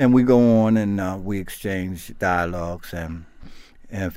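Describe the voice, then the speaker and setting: Audible room echo follows a man as he talks. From South Carolina, raised in Baltimore. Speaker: peer recovery coach. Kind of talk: interview, personal recovery story. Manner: casual, halting with repetitions.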